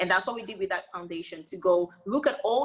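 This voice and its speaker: A woman of medium pitch speaks at a fairly quick pace, with an animated tone and lively intonation. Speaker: beauty company founder and CEO. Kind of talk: casual interview chat. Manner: loud.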